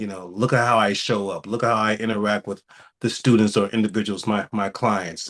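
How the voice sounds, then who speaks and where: Intonation stays monotone and flat as a man talks at a fairly quick pace. The background is quiet. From US Midwest, St. Louis. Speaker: therapist. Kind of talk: radio interview. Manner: occasional repetitions, former stutterer.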